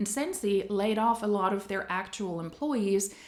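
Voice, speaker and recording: Speaking with a non-native accent, a woman has a medium pitch. Her pace is moderate. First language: not English. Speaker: anti-MLM commentary youtuber. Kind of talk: video commentary.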